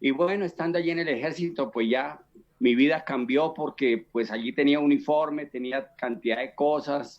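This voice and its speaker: At a moderate pace, a man speaks with fairly high pitch and ordinary pitch variation. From Colombia, Boyacá (Chiquinquirá). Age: 60s. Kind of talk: testimony. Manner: halting, many fillers and repetitions.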